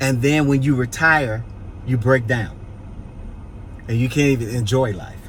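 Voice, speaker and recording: A man's medium-pitched, animated voice at a moderate pace, with long, frequent pauses and audible room echo. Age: 60s. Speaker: pastor and vlogger. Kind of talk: casual vlog chat with advice. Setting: outdoors on a city street. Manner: animated, preachy.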